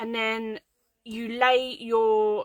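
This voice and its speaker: With a British accent, a woman speaks at a fairly high pitch in a dry, close sound with no echo. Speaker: craft tutorial host. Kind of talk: live craft tutorial. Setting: home craft room livestream. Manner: casual, chatty; quiet while concentrating.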